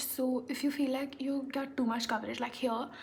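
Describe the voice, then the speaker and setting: A woman speaks over noticeable background noise. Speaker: beauty vlogger. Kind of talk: get-ready-with-me makeup tutorial.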